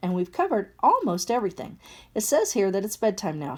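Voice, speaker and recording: A put-on character voice races along at a very fast pace. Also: female-sounding voice, medium pitch for a woman. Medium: read story.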